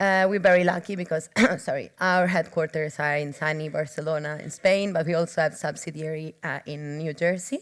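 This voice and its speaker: Recorded very cleanly with a silent background, a woman with an Italian accent speaks at a fairly quick pace with hardly any pauses, fairly even intonation and a very deep, low pitch. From Italy. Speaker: clinical trials professional. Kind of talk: conference talk.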